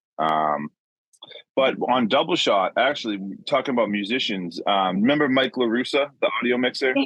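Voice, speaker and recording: A man's normal speaking voice at a medium pitch, with lively intonation, very even loudness, and a moderate pace. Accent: American. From Boston. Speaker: audio engineer. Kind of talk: podcast interview answer.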